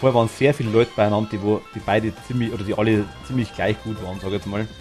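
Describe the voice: Over music in the background, a man speaks very fast in a fairly low voice with a slight Hessian accent. His intonation stays fairly even. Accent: light Hessian dialect.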